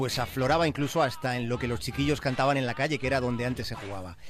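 A man is speaking here. His pace is very fast. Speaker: radio contributor. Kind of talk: radio segment narration.

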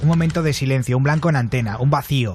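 A man's animated, very fast speech with ordinary pitch variation over music in the background. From Valencia, Spain. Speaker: radio host. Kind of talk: late-night radio show.

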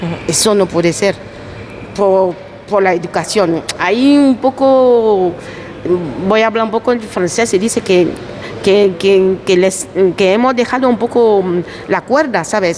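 Over noticeable background noise, a woman at medium pitch speaks fairly slowly with very even loudness, ordinary pitch variation and long, frequent pauses. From Ivory Coast. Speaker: immigrant worker and mother. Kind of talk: casual group interview. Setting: market, outdoors on location.

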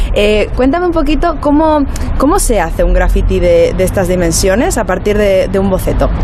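Noticeable background noise and audible room echo surround a woman whose loudness stays very even. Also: moderate pace. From Spain, Móstoles (Madrid). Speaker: radio reporter. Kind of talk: field interview.

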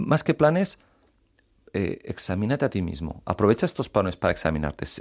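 Recorded very cleanly against a silent background, a man with a fairly low pitch races at a very fast pace through very wide pitch swings. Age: 30s. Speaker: author living with chronic illness. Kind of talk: interview.

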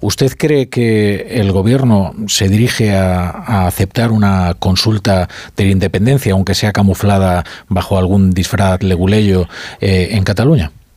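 In a plain, everyday voice, a man speaks at a fairly slow pace with a fairly low pitch, ordinary pitch variation and very even loudness. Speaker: radio host. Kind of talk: radio talk show.

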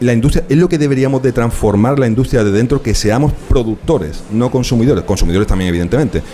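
Over noticeable background noise, a man talks very fast. His intonation is lively. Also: medium pitch for a man, hardly any pauses, very even loudness. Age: 40s. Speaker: museum founder and video game entrepreneur. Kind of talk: live radio interview. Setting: live broadcast from a museum.

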